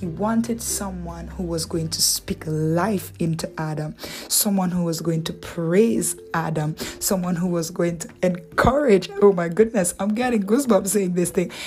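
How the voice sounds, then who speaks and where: Over noticeable background noise, a woman speaks with a warm tone and ordinary pitch variation. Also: moderate pace. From Antigua. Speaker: podcast host giving relationship and faith talk. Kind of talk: solo faith-based talk. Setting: solo podcast recording. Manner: warm, conversational, encouraging.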